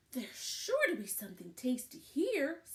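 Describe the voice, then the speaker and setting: A woman speaks in a put-on character voice at a high pitch. Her pitch swings very widely. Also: moderate pace. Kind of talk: read-aloud storybook voice. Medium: read story.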